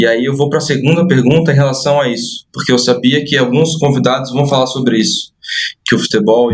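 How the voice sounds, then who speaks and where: A man talks at a very fast pace. His voice is medium in pitch. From Brazil, Santa Catarina. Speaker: podcast host and football coach. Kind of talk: podcast interview. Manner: hesitant, repeats words.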